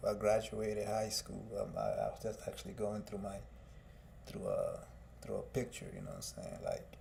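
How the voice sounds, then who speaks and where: A man with audible room echo and noticeable background noise. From Guatemala, raised in Fort Myers, Florida from age 8. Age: 30s. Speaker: music artist and livestreamer. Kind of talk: personal testimony on live stream. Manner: halting, many fillers.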